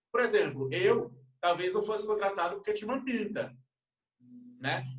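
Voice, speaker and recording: A man's high voice in a northeastern Brazilian accent with lively intonation at a moderate pace. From Northeast Brazil, Recife. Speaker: retail executive. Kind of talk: casual discussion.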